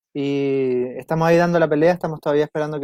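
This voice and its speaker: A man in a Chilean accent speaks in a fairly high, dark and mellow voice with a dry, close sound and no echo. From south-central Chile. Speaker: environmental lawyer. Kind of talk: interview. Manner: halting.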